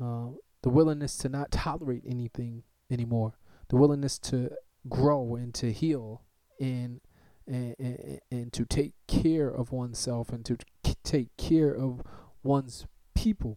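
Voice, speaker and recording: In an American accent, the speaker delivers a passionate, dark, mellow tone at a fairly slow pace, with fairly even intonation and long, frequent pauses. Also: man, medium pitch for a man. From Newark, New Jersey. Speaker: podcast host. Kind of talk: solo commentary, fiery rant on truth and generational responsibility. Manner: passionate, emphatic, insistent; repetitive, stammering for emphasis.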